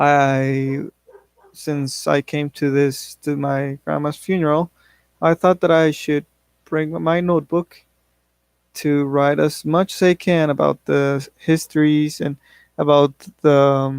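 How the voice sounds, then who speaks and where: A man with a Spanish accent and fairly high pitch talks at a very slow pace in monotone, flat intonation with long, frequent pauses, recorded with a dry, close sound and no echo. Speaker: English learner. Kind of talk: class speech, personal story. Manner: halting, with self-corrections.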